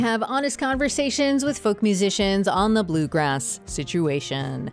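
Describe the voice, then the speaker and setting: A woman at medium pitch with very wide pitch swings and an upbeat tone, talking at a moderate pace over music in the background. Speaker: podcast host. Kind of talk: podcast intro.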